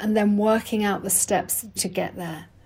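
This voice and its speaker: A woman in a dark, mellow, passionate tone at a moderate pace. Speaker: health coach and author. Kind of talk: expert interview discussion.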